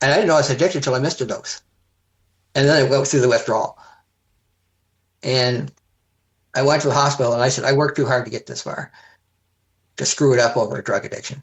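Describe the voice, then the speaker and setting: A man's very fast, somewhat breathy delivery in a Canadian accent, fairly high in pitch, with fairly even intonation and long, frequent pauses. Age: 70s. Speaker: heart transplant recipient, community volunteer. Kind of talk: casual chat.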